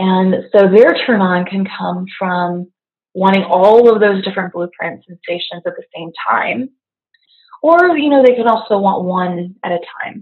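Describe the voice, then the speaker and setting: In an unremarkable speaking voice, a woman of medium pitch talks at a fairly slow pace, with ordinary pitch variation and big swings in loudness. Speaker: intimacy coach and movement teacher. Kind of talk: casual interview chat. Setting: remote call.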